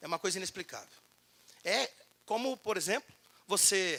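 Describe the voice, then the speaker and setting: Projecting a raised voice, a man speaks high for a man in an animated tone. The tone is bright and sharp, and the sound is dry and close with no echo. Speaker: labor law speaker at union event. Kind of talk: lecture. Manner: fast.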